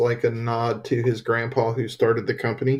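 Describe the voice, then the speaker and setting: Against a quiet background, a man with a Southern accent talks at a moderate pace, somewhat breathy and monotone, with flat intonation. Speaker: podcast co-host. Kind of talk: casual chat.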